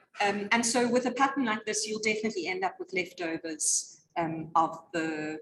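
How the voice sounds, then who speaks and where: Using an ordinary speaking voice, this woman talks at a moderate pace. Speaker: yarn shop host. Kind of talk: live online knitting show.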